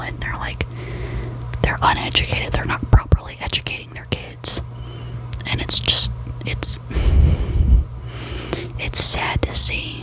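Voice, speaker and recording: Through noticeable background noise, a woman whispers at a fairly slow pace with long, frequent pauses. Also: big swings in loudness. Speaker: ASMR creator. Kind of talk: ASMR gossip talk to camera in bed. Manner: soft-spoken, whispering.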